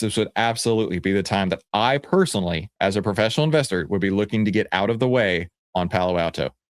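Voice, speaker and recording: An animated man with a Texan accent, fairly low in pitch with ordinary pitch variation, at a fairly quick pace, in a dry, close sound with no echo on a very clean recording against a silent background. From Texas. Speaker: stock market educator. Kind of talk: market commentary video.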